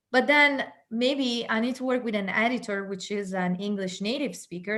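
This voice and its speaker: This woman talks at a moderate pace in an Italian accent. Her pitch varies in an ordinary way. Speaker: entrepreneurship expert. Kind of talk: panel discussion.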